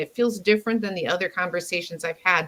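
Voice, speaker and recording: Noticeable background noise sits behind a voice with an American accent. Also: woman. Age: 60s. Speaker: communication mentor. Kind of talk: interview conversation.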